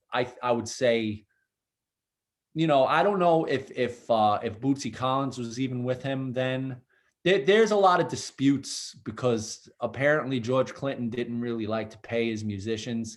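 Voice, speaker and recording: A man's medium-pitched voice in a strong Brooklyn accent, at a moderate pace, with ordinary pitch variation and big swings in loudness. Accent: thick Brooklyn. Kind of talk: casual interview conversation.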